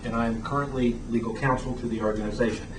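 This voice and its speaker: Against noticeable background noise and audible room echo, a man races along at a very fast pace with a medium pitch and fairly even intonation. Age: 60s. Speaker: attorney and advocacy group founder. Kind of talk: prepared statement at a press event. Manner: formal.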